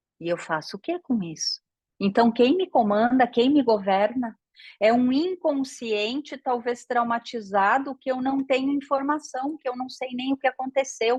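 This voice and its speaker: A woman's high voice with ordinary pitch variation at a fairly slow pace, against a quiet background in a dry, close sound with no echo. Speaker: systemic therapy teacher. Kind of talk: online lecture. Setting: live online class. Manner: animated.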